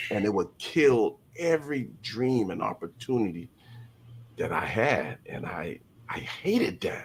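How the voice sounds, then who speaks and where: The tone is animated as a man speaks at a fairly slow pace. Noticeable background noise runs underneath. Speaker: podcast guest sharing life story. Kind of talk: testimony. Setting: live-streamed podcast. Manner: halting, with repeated false starts; emotional, animated.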